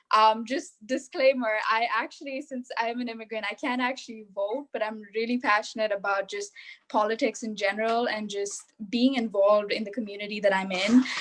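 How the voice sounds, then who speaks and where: A fairly high-pitched woman's voice at a fairly quick pace, with fairly even intonation. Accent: Indian. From India, Mumbai. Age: young. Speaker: young adult panelist. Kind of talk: panel discussion.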